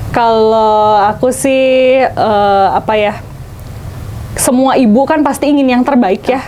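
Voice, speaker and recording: Through noticeable background noise, a woman with a strong Sundanese accent speaks at a very slow pace and high pitch, her loudness very even and her pitch varying in an ordinary way. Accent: thick Sundanese. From West Java, Bandung (Sundanese). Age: 30s. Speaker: small business owner, mother. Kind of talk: casual interview chat.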